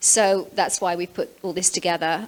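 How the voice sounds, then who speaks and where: A woman with a British accent speaks at a moderate pace with fairly even intonation. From England (London). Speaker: real estate agent. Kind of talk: webinar presentation.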